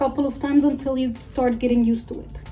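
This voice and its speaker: The speaker has a non-native accent and a monotone, flat intonation, moving at a fairly quick pace. Audible room echo surrounds the voice. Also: woman. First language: not English. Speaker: beauty vlogger. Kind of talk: tutorial vlog. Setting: filming at home.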